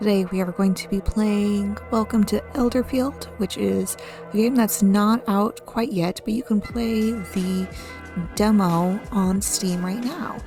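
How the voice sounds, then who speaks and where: With music in the background, a soft-spoken woman talks at a medium pitch and a very slow pace, with ordinary pitch variation. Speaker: gaming YouTuber. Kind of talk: soft-spoken gaming commentary for sleep.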